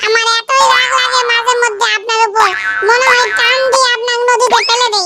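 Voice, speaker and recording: Over music in the background, a woman uses a cartoonish character voice at an extremely high pitch with monotone, flat intonation. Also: moderate pace, very even loudness. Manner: quick to take offense.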